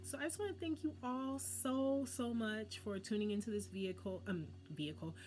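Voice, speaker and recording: A woman speaks in an animated tone, her pitch swinging very widely. There is vocal fry, and her pace is fairly quick. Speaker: wellness channel host. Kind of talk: monologue to camera. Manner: fast.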